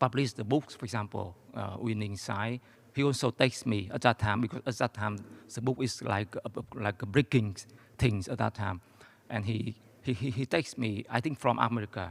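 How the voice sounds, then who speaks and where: Speaking with a Vietnamese accent, a man keeps a moderate pace and ordinary pitch variation. The sound is dry and close, with no echo. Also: medium pitch for a man. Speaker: audience member, academic and former economic advisor. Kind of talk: audience question at lecture Q&A. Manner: halting, many hesitations.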